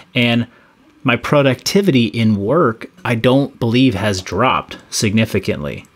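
A man speaks at medium pitch with vocal fry. His intonation is lively. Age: 30s. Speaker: fitness coach and former competitive athlete. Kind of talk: casual chat.

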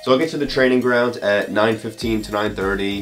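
Faint music plays behind a man with a fairly low pitch. His pitch varies in an ordinary way. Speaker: vlogger. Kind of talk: casual vlog chat. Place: home room. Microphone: phone near.

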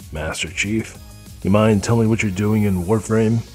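Clear music plays behind a man doing a put-on character voice. His pitch is fairly low. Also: moderate pace. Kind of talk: comedic parody sketch.

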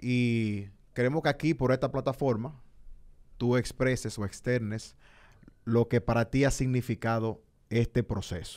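Over a quiet background, a man speaks with fairly even intonation, leaving long, frequent pauses. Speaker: podcast host. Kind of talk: heated debate. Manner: casual, laughing. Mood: earnest, personal, somewhat emotional. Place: studio. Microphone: studio mic.

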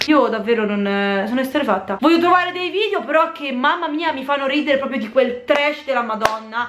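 Light background noise and audible room echo surround a woman speaking very fast in a high pitch. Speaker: youtuber. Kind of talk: casual vlog chat, reaction commentary. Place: home room. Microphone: camera far.

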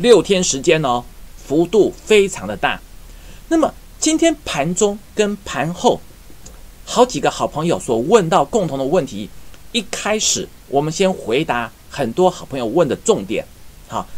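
Speaking at a fairly slow pace, a man swings his pitch very widely and leaves long, frequent pauses. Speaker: stock market analyst. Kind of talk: market commentary.

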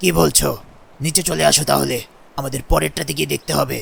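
In a put-on character voice, a man speaks raspy and very deep at a moderate pace. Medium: machinima. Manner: calm.

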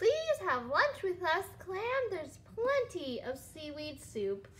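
Putting on a squeaky character voice, a woman speaks at an extremely high pitch and a fairly slow pace, with very wide pitch swings and big swings in loudness. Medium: read story. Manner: warm, welcoming.

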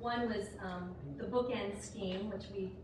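A woman's voice at a fairly slow pace, with audible room echo and noticeable background noise. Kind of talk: lecture. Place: hall. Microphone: camera far.

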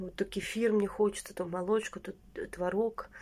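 This woman has a dark, mellow tone and talks at a moderate pace. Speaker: lifestyle vlogger; vlogger. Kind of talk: casual vlog monologue. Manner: chatty, filler-heavy. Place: home room. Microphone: phone near.

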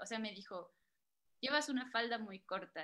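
With a bright, sharp tone, a woman talks at a moderate pace and ordinary pitch variation over a quiet background. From Mexico, Guerrero roots. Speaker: moderator, editor; moderator. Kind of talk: storytelling; moderated panel. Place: home room. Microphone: video call.

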